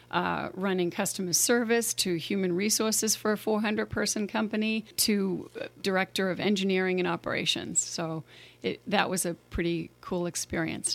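In a Boston accent, a woman speaks at a moderate pace and medium pitch, with fairly even intonation and hardly any pauses. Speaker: mayor. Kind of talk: casual interview chat. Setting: studio.

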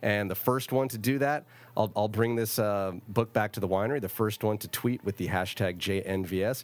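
A man with an ordinary speaking voice talks at a moderate pace and a fairly low pitch, using ordinary pitch variation. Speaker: radio host and winemaker. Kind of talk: casual radio interview. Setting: radio studio.

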